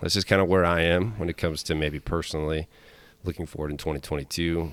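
The voice has vocal fry. Its intonation is fairly even. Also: man. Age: 30s. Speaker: fitness coach and podcast host. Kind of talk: casual chat.

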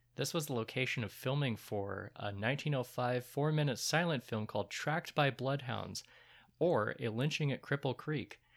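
An unremarkable speaking voice with ordinary pitch variation at a moderate pace, on a very clean recording with a silent background. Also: man. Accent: American. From US Midwest (Troy, Michigan). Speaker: podcast co-host. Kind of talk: casual chat.

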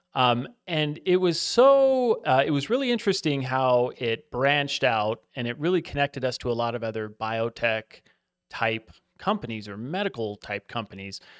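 A man with an unremarkable speaking voice at medium pitch talks at a moderate pace with lively intonation, in a very clean recording with a silent background and a dry, close sound with no echo. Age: 40s. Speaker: hedge fund and private equity investor. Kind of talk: interview. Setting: studio.

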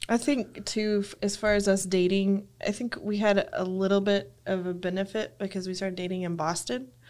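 A woman talks in a West Texas accent at a medium pitch. Her pace is moderate and her pitch variation ordinary. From West Texas (Lubbock). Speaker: church member, seminary graduate. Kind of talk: casual chat.

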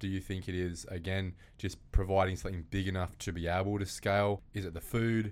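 Talking at a fairly quick pace with an Australian accent, a man keeps a fairly low pitch and a flat, monotone intonation. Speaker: property podcast host. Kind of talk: interview. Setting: studio.

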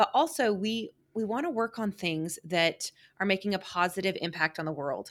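The recording is very clean, with a silent background, and a woman with an American accent speaks at a moderate pace in an unremarkable speaking voice. Her pitch is medium and her intonation lively. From Oklahoma City suburb. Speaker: agency president. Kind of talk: interview. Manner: frequent fillers (um).

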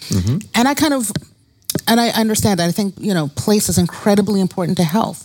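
A woman with an American accent has a normal speaking voice, talking at a fairly quick pace with ordinary pitch variation. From Brooklyn, New York. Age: 50s. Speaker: psychologist and medical school researcher. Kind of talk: interview.

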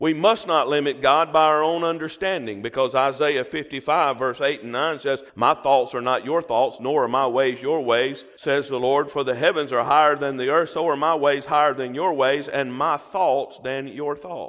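Hardly pausing, a man with a Southern US accent talks at a moderate pace and a fairly high pitch. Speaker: guest preacher. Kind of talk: sermon. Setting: church with congregation. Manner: animated.

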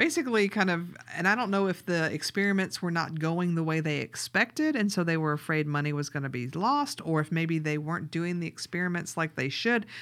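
In a Southern US accent, a woman speaks at a fairly quick pace and fairly low pitch with hardly any pauses. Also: ordinary pitch variation. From US South. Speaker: podcast co-host and grant writer. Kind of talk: casual chat.

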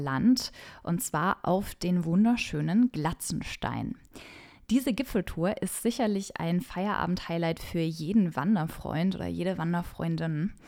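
A woman speaks at a very slow pace, with a fairly low pitch and a dark, mellow tone. Her pitch variation is ordinary, and the recording is very clean with a silent background. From Franconia, Germany. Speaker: travel journalist and podcast host. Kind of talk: scripted travel podcast narration. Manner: enthusiastic.

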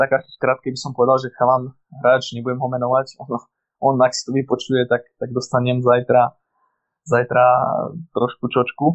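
At a moderate pace, a man talks in monotone, flat intonation. He takes long, frequent pauses. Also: medium pitch for a man. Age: 20s. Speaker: sports physiotherapist. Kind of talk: casual interview. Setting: remote, lying in apartment. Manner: halting.

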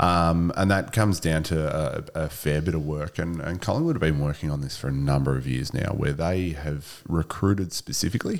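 With an Australian accent, a man speaks in a very deep, low voice with ordinary pitch variation. His delivery is at a moderate pace with hardly any pauses. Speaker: former AFL footballer. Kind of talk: casual chat. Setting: studio.

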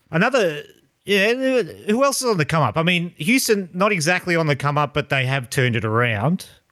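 A man with an Australian accent, high pitch and very wide pitch swings, a bright, sharp tone, very even loudness and a fairly quick pace, on a very clean recording with a silent background. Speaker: podcast host. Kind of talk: casual chat.

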